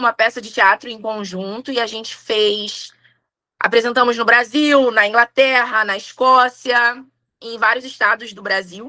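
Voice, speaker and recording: A woman speaks at a fairly slow pace in a high pitch, with a bright, sharp tone and ordinary pitch variation. The sound is dry and close, with no echo. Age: 30s. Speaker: tarot reader and umbanda priestess. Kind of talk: casual interview chat.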